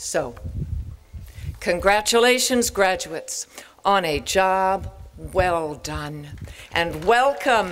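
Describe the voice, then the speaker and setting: A woman at a very slow pace, with lively intonation, long, frequent pauses, and light background noise. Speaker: professor giving commencement speech. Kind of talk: commencement speech. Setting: stage with audience. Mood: warm, encouraging. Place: open country. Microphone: podium.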